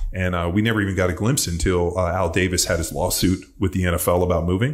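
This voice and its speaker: A man speaks in a very deep, low voice with a somewhat breathy quality and an American accent. His pace is fairly quick, and the background is quiet. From Southern California. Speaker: podcast guest. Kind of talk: casual chat. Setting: studio, in person. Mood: relaxed, animated. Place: studio. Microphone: studio mic.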